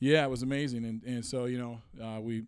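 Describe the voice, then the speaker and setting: The intonation stays monotone and flat. The pace is moderate. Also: man, very clean recording, silent background. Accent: American. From Washington State, US Pacific Northwest. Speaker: podcast host and producer. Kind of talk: casual chat.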